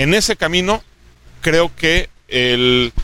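With a central Mexican accent, a man talks with lively intonation. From Mexico, Aguascalientes. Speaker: state government official. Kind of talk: interview.

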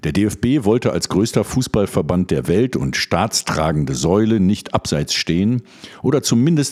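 The man's voice is very deep and low, with vocal fry. He speaks at a moderate pace, his pitch swinging very widely. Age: 50s. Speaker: radio show host. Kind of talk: scripted commentary reading; radio magazine chat.

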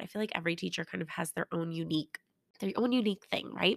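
An animated woman speaks in a fairly low pitch with a bright, sharp tone. The sound is dry and close, with no echo. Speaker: kindergarten teacher and podcast host. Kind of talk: solo podcast monologue.

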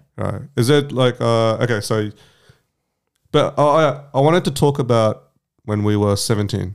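At a moderate pace, a man with an Australian accent talks in a medium pitch with ordinary pitch variation and long, frequent pauses, on a very clean recording with a silent background. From Vietnamese heritage. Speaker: podcast co-host. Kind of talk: casual chat. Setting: studio.

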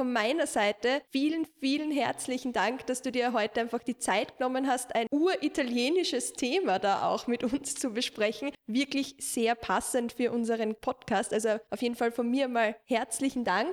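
A high-pitched female voice with hardly any pauses, ordinary pitch variation and a moderate pace. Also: very even loudness. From half Italian. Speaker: podcast host. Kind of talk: casual chat.

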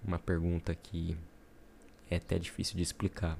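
Speaking with a dark, mellow tone, the man has a very deep, low pitch. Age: 20s. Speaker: podcaster, aspiring entrepreneur. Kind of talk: solo introductory podcast monologue. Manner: casual, with hesitations and fillers.

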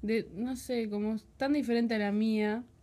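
Very slow speech comes from a woman with a fairly high pitch. Her tone is dark and mellow. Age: 20s. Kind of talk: casual chat. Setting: studio.

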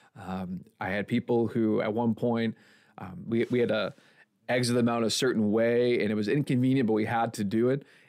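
A plain, everyday voice with an American accent, a fairly quick pace and fairly even intonation, in a very clean recording with a silent background. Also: man, medium pitch for a man. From Milwaukee, Wisconsin, US. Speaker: pastor. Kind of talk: casual chat.

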